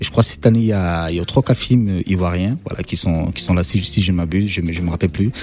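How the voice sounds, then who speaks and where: With a very deep, low pitch and ordinary pitch variation, a man races along at a very fast pace, hardly pausing at all. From Cameroon. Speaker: film director. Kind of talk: radio interview.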